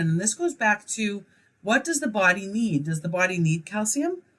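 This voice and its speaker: At a moderate pace, a woman with a medium pitch speaks in a somewhat breathy voice with lively intonation. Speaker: college instructor. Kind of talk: recorded lecture. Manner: hesitant fillers.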